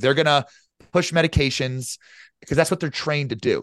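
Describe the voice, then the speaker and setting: Against a quiet background with a dry, close sound and no echo, a man with a plain, everyday voice speaks in a fairly high pitch with lively intonation. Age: 30s. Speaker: genetic health coach. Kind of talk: casual chat.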